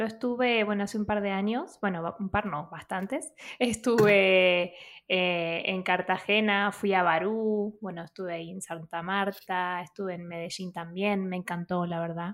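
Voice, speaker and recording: In a plain, everyday voice, a woman talks at a fairly slow pace and medium pitch with fairly even intonation, on a very clean recording with a silent background. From Argentina, outskirts of Buenos Aires. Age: 30s. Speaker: podcast co-host. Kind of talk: interview.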